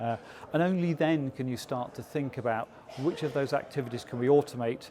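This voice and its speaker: A man with an English accent at a fairly quick pace, fairly even intonation, over noticeable background noise. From England. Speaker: business process consultant. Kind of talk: interview. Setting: industry conference. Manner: hesitant with frequent fillers.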